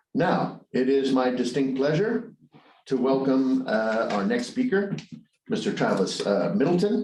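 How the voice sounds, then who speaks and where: In audible room echo, a man speaks at a fairly slow pace with very even loudness and very wide pitch swings. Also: medium pitch for a man. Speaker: business presenter. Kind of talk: online conference presentation; speaker introduction. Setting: online webinar. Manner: hesitant, many fillers.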